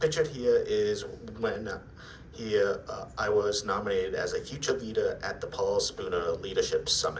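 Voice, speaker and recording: With an American accent, a man talks at a moderate pace amid noticeable background noise and audible room echo. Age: 20s. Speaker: self-advocate speaker. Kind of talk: presentation.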